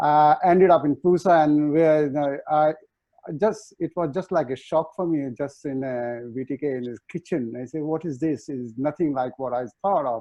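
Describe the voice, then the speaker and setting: In an Indian accent, a man talks at a fairly high pitch with ordinary pitch variation. His pace is moderate. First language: Hindi. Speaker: chef. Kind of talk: panel discussion. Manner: halting.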